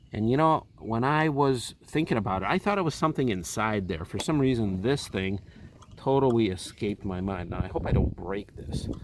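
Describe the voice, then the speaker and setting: A man speaks at a moderate pace and medium pitch, his voice swinging very widely in pitch over noticeable background noise. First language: Russian. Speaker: car owner vlogger. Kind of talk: DIY tutorial; casual vlog outro. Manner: casual.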